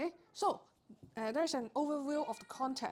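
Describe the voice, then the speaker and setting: Her pitch varying in an ordinary way, a woman talks with a non-native accent. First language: not English. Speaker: accounting tutor. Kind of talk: tutorial. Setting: live stream. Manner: hesitant, frequent fillers.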